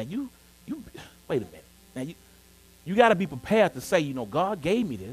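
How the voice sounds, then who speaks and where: Music plays in the background as a man speaks at a very fast pace with a high pitch. His tone is animated, with very wide pitch swings. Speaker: pastor. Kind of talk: sermon.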